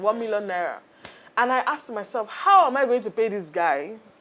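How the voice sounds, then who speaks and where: A woman with a Nigerian accent speaks at a moderate pace in a fairly high voice, her intonation lively. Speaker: entrepreneur. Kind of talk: interview.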